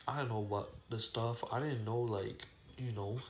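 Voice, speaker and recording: Mumbling and somewhat breathy, the speaker keeps a fairly even intonation over audible room echo. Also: man. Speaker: YouTuber vlogger. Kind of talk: casual monologue vlog. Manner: halting, many fillers and restarts.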